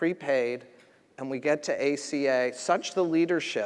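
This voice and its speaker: With an American accent, a man talks in a fairly high voice. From US East Coast. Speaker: federal health official. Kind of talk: conference speech. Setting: stage with audience.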